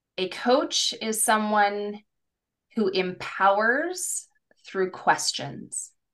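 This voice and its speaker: The speech moves at a very slow pace, with lively intonation. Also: woman, fairly high pitch for a woman. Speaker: career coach and podcast host. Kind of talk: casual conversational podcast chat.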